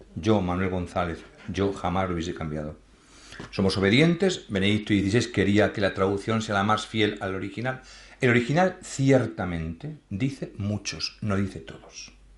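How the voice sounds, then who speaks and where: Somewhat breathy speech at a moderate pace, lively intonation, a Madrid accent, and audible room echo. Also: man. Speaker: priest. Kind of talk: lecture with Q&A. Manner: conversational, self-correcting.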